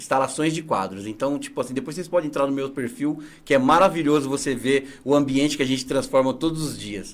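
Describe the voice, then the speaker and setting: A man with an ordinary speaking voice, fairly high in pitch, at a fairly quick pace with hardly any pauses and ordinary pitch variation. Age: 40s. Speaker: entrepreneur, picture installer. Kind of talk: interview.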